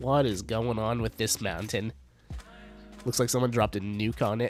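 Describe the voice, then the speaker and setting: A man's upbeat, fairly low voice with ordinary pitch variation at a moderate pace, music in the background. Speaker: streamer. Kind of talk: casual live-stream gameplay commentary.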